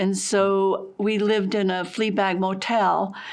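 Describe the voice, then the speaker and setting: A woman talks with an American accent at a medium pitch. Her intonation is monotone and flat, with audible room echo. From Massachusetts, Boston area. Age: 80s+. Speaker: painter. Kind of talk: interview, life story. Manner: halting.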